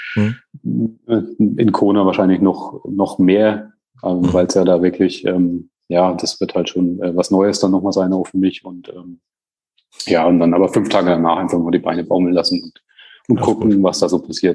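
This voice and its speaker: At a moderate pace, a man talks in a flat monotone with a very deep, low pitch and a dark, mellow tone. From Bamberg, Franconia, Germany. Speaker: amateur triathlete. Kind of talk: interview.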